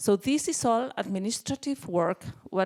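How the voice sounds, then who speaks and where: A woman with a Spanish accent speaks fairly slowly with lively intonation. The very clean recording has a silent background and a dry, close sound with no echo. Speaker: psychiatrist and researcher. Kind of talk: conference presentation. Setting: conference panel. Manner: halting, with many fillers.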